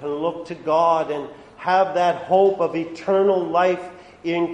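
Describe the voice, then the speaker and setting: A man's high voice, very slow and with fairly even intonation, against audible room echo and noticeable background noise. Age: 60s. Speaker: pastor. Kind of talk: sermon. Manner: halting.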